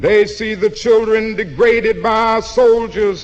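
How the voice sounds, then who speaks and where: A man with an American accent talks at a very slow pace, his pitch high. Noticeable background noise runs behind him. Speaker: preacher. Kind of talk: sermon.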